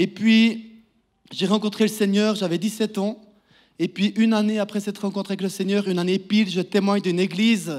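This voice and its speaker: In a very clean recording with a silent background, a man with a high voice speaks at a fairly quick pace in a monotone, flat delivery. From Switzerland, Neuchâtel canton (Val-de-Travers, Les Ponts-de-Martel). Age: 30s. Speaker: preacher giving testimony. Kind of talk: testimony sermon. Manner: halting, many repeated words.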